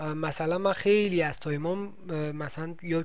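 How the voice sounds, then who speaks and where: Here a man speaks with a fairly high pitch. Room echo is audible. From Iran. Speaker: podcast host doing military service. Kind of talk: scripted narration; casual chat.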